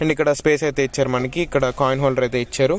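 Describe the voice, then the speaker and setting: Noticeable background noise sits behind a man speaking at a fairly high pitch with fairly even intonation. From Andhra Pradesh. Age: young. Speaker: car reviewer. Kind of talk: car review walk-around.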